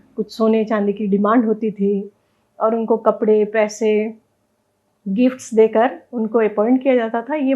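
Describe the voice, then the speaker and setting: A woman with a plain, everyday voice speaks in a fairly high pitch with fairly even intonation. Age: 60s. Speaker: wedding sangeet dance expert. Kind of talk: interview.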